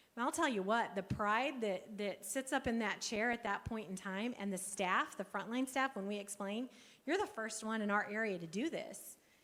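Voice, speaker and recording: An unremarkable speaking voice from a woman, with ordinary pitch variation and hardly any pauses. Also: fairly high pitch for a woman, moderate pace. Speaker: workforce program presenter. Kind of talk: conference presentation.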